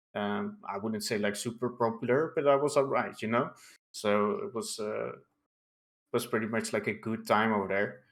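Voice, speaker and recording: A man speaks at a moderate pace with a non-native accent, his pitch medium. The recording is very clean, with a silent background. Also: fairly even intonation. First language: not English. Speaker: online political streamer. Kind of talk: casual interview chat.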